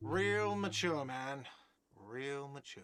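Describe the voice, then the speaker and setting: A man shouts in a put-on character voice at a medium pitch. The voice is whiny. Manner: shouting, sarcastic.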